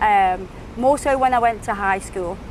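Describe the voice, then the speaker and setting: With noticeable background noise behind her, a woman talks in a British accent. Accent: British, described as beautiful. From England, Stoke-on-Trent. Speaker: nail artist and social media creator. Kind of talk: podcast interview.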